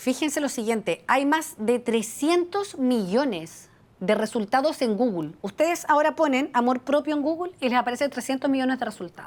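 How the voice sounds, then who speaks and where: Her voice has a high pitch and lively intonation. The woman speaks with hardly any pauses. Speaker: psychologist and life coach. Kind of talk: webinar talk. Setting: video call. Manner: fast.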